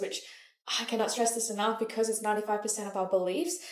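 Speaking at a fairly quick pace, a woman has a fairly high pitch. Her voice carries an audible room echo. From Malaysia. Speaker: manifestation coach. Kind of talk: motivational talk to camera. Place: home room.

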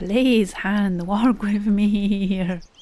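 The speaking pace is very slow, and noticeable background noise can be heard behind it. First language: not English. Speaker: gaming YouTuber. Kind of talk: casual gameplay commentary.

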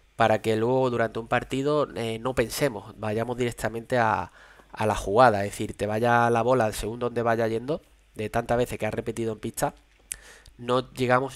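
Speaking in a flat monotone, a man keeps a fairly quick pace. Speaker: padel coach streamer. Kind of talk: commentary. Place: home room. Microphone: headset.

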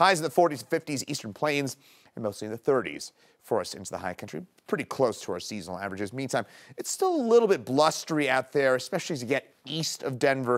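Against a quiet background, a man speaks very fast with very wide pitch swings and big swings in loudness. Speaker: meteorologist. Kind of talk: weather forecast. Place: studio.

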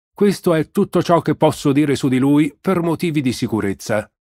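On a very clean recording with a silent background, a man talks fairly slowly at a fairly high pitch with lively intonation. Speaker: audiobook narrator. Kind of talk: literary audiobook reading, scripted narration with voiced characters. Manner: measured storyteller, shifting to a jovial official's tone in dialogue.

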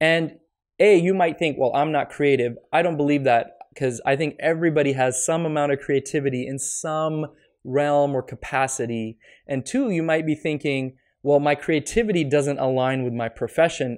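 A man talks, his pitch shifting in an ordinary way, with only a quiet background behind him. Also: moderate pace. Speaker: podcast host. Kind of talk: solo podcast advice talk. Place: home room. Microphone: studio mic.

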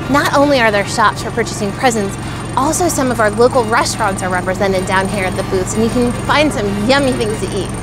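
A woman talks at a very fast pace. The sound is dry with no echo, and clear music plays in the background. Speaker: local vlogger. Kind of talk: casual vlog chat. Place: market. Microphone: phone near.

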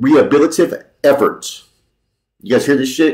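A man is the one talking. Behind him, the background is quiet. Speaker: commentary vlogger. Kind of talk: reads article aloud with commentary. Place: home room. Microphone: webcam.

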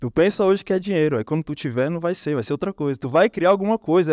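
Heard on a very clean recording with a silent background, a man speaks at a fairly high pitch. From Brazil, Brasília. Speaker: copywriter, conference speaker. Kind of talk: conference talk. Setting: stage with audience. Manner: animated.

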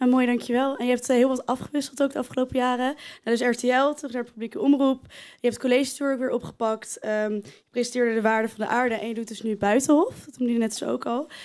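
Against a quiet background, a woman speaks at a very fast pace. Her pitch is high and her intonation fairly even. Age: 20s. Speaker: student presenter; student host. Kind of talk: live interview. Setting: stage with audience. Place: stage. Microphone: handheld.

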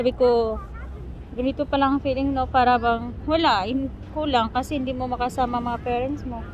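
Over crowd noise in the background, a woman speaks at a moderate pace with a high pitch and a monotone, flat intonation. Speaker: vlogger. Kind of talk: travel vlog narration. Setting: outdoors.

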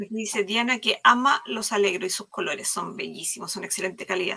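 An ordinary speaking voice from a woman, medium in pitch, with ordinary pitch variation at a moderate pace. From Chile. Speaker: live craft stream host. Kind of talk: live craft demo chat. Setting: video call livestream.

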